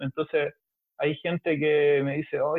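A man with a Chilean accent and a fairly high pitch speaks at a moderate pace. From Chile, Valparaíso. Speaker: collage artist. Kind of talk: casual chat.

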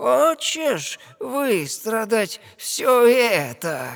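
A man speaks very slowly in a put-on character voice pitched extremely high. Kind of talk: fairy-tale audio play acting. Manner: mocking, gloating.

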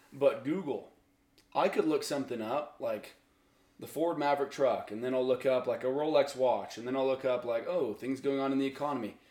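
This man has an unremarkable speaking voice, fairly high for a man, with an American accent. He talks at a fairly quick pace with fairly even intonation. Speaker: podcast guest. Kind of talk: casual chat.

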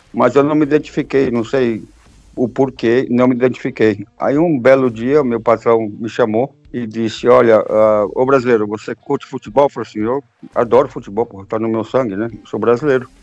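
A man with a plain, everyday voice talks at medium pitch and a moderate pace, his intonation fairly even while his loudness swings widely. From Brazil, São Paulo and Minas Gerais. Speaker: football fan. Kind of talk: casual chat.

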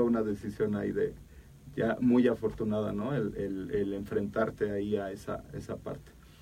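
There is noticeable background noise as a man speaks at a moderate pace in a fairly low pitch. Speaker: taekwondo coach and academic director. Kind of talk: interview. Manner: halting.

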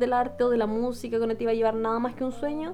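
A woman speaks in a high pitch. Noticeable background noise runs underneath. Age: 20s. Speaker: podcast co-host. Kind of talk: casual chat.

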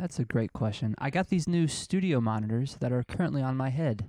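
Against a quiet background, a man with a medium pitch and dark, mellow tone speaks at a moderate pace with hardly any pauses, very even loudness and lively intonation. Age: 20s. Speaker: podcast co-host. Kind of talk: casual chat.

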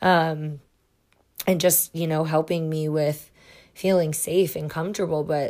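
On a very clean track with total silence behind it, the words come out rather unhurriedly. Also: woman. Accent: Midwestern US. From Iowa, US Midwest. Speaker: psychic reader and podcast host. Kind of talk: personal storytelling monologue. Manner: frequent filler words and hesitations.

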